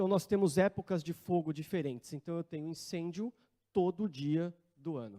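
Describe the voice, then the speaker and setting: A man's high-pitched, dark, mellow voice at a moderate pace. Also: dry, close sound with no echo. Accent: Brazilian. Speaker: wildfire management coordinator. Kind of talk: conference talk. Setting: conference room with audience.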